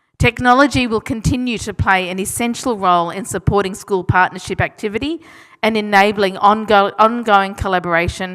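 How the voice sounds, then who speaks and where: In an Australian accent, a woman speaks at a medium pitch and a moderate pace with ordinary pitch variation. The recording is very clean, with a silent background. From Australia (Melbourne). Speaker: education program representative. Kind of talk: formal speech. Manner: formal.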